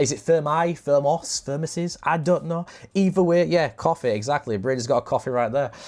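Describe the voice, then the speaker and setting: The speaker has a northern English accent. The delivery moves at a fairly quick pace. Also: man. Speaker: podcast host. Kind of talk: casual chat.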